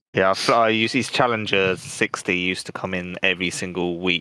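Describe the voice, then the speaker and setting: A man with a southern English accent, very deep and low in pitch, with fairly even intonation. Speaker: podcast co-host. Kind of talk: casual chat.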